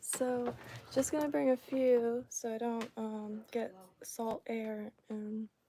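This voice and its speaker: Soft-spoken and with an American accent, a woman speaks very slowly with fairly even intonation. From Florida. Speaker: fly tier streamer. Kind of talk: casual livestream tutorial.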